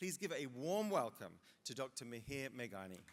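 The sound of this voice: The man's voice sits at a medium pitch with big pitch swings. He holds a moderate pace.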